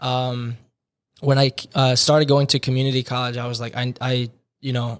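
On a very clean recording with a silent background, a man with an American accent speaks in a monotone, flat intonation. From US Northeast, New Jersey. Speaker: divinity student. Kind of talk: casual interview, personal testimony.

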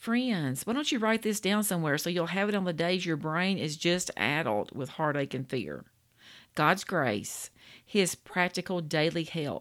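On a very clean recording with a silent background, a woman with a Louisiana accent speaks at a fairly slow pace. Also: lively intonation. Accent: Louisiana Southern US. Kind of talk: devotional talk. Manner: warm, folksy.

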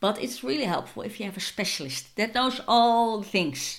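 Medium-pitched female speech, moderately paced, with vocal fry. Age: 40s. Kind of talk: casual monologue.

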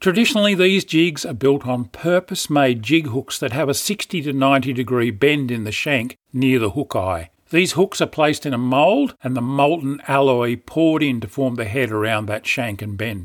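In a very clean recording with a silent background, a man with an Australian accent speaks at a moderate pace and medium pitch with lively intonation and hardly any pauses. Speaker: fishing podcaster. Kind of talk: scripted narration.

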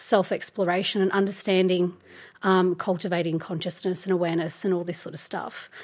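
Over a quiet background, a woman with an Australian accent speaks fairly quickly at a medium pitch. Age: 30s. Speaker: photographer and yoga teacher. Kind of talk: casual interview.

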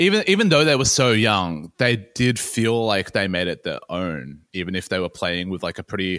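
In an Australian accent, a man talks at a moderate pace with a fairly low pitch and lively intonation, in a very clean recording with a silent background and a dry, close sound with no echo. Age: 30. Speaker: music journalist. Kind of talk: casual chat.

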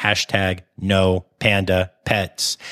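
A man uses a robotic, put-on character voice with very deep, low pitch and monotone, flat intonation.

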